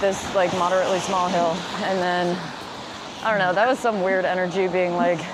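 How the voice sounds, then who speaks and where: This woman talks at a fairly quick pace and a medium pitch, her loudness very even. Noticeable background noise and audible room echo surround her voice. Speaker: vlogger. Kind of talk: casual monologue. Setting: outdoors, walking up a hill. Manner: fast.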